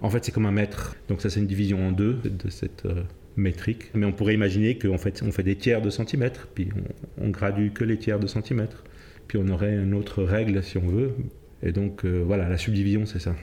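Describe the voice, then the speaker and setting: Using a normal speaking voice, a man talks at a fairly quick pace with fairly low pitch, very even loudness and fairly even intonation. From Cape Verde and Senegal, then Switzerland. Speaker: jazz pianist and music theorist. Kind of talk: interview explanation.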